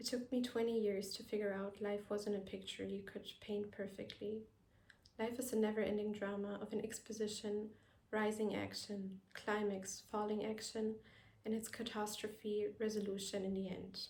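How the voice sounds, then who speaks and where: Against noticeable background noise, a woman with a non-native accent speaks at a moderate pace in a monotone, flat intonation. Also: medium pitch for a woman. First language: not English. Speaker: vlogger. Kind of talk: personal reflective monologue. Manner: careful, non-native pronunciation.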